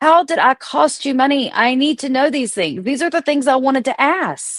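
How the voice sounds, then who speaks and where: A woman's high-pitched voice, animated in tone, with ordinary pitch variation. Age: 40s. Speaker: livestream commentator on reality TV drama. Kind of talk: casual livestream rant. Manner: fast.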